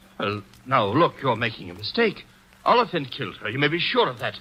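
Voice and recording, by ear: Putting on a character voice, a man talks at a fairly quick pace with medium pitch, a bright, sharp tone, a slightly husky edge and big pitch swings.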